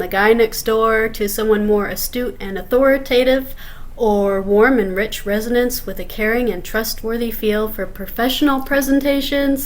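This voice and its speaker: With hardly any pauses, a woman uses a normal speaking voice at a fairly high pitch, fairly even intonation and a moderate pace. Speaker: meeting host.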